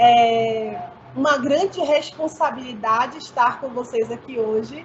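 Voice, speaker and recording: The speech comes at a fairly slow pace with ordinary pitch variation. Noticeable background noise is present. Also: woman, high pitch for a woman. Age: 40s. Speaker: teacher. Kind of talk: panel discussion.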